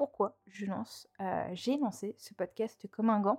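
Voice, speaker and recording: In a dry, close recording with no echo, a woman's fairly high voice has a dark, mellow tone and lively intonation. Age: 20s. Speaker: podcast host. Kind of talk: casual monologue. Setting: alone at home microphone. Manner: chatty, many fillers.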